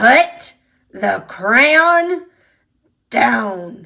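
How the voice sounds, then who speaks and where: The speaker growls in a put-on character voice. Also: woman, high pitch for a woman. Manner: growling, menacing.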